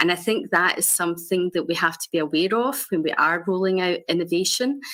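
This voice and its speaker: In a Scottish accent, a woman talks at a moderate pace and fairly low pitch with lively intonation. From Scotland. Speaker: health innovation director. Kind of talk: conference panel presentation. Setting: video call into conference stage.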